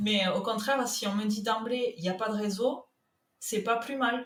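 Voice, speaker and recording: In a southern French accent, a woman speaks at a very slow pace in a fairly high pitch. Her voice is somewhat breathy, with fairly even intonation. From southern France, Toulouse. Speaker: content manager. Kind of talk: podcast interview.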